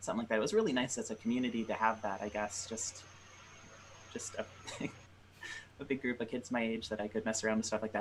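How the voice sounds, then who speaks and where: A man speaks at a medium pitch with an American accent over noticeable background noise. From Michigan, Detroit. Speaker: game developer. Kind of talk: interview.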